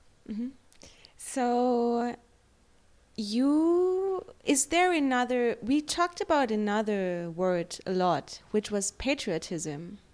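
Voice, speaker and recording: In a German accent, a woman speaks at a very slow pace and a high pitch with very wide pitch swings, on a very clean recording with a silent background. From Germany. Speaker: editor and interviewer. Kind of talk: interview. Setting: livestream interview.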